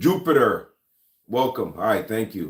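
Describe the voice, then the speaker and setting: A man with a Jamaican accent and ordinary pitch variation. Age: 40s. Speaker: gun and lifestyle YouTuber. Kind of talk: casual livestream chat. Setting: live stream. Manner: hesitant, many fillers.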